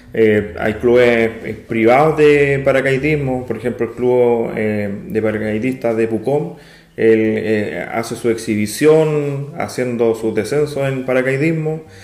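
A man speaks very slowly, and audible room echo fills the recording. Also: medium pitch for a man, ordinary pitch variation. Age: 30s. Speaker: amateur pilot. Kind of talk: interview.

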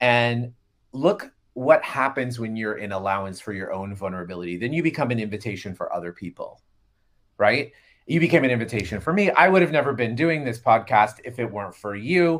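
With an American accent, a man uses a normal speaking voice at medium pitch, talking at a fairly quick pace with lively intonation and big swings in loudness. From Florida. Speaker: podcast co-host, healer and facilitator. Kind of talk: casual chat. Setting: video call.

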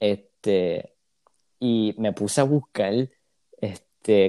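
Against a silent background in a very clean recording, a man talks with a dark, mellow tone, fairly low pitch and ordinary pitch variation. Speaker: university student. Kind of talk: casual chat.

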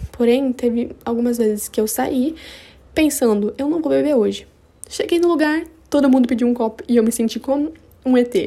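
A woman's high-pitched voice has a dark, mellow tone and very even loudness. She keeps a moderate pace with long, frequent pauses. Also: ordinary pitch variation. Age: 20s. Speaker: podcaster. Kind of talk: casual personal monologue. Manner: animated.

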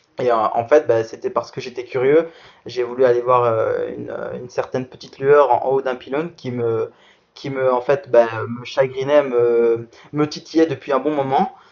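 A man with a medium pitch speaks at a moderate pace with fairly even intonation. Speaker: para athlete. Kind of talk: interview. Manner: halting.

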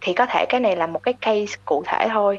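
A woman's ordinary speaking voice, fairly high in pitch, with ordinary pitch variation at a moderate pace. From Vietnam. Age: 20s. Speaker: consumer analyst. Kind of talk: interview.

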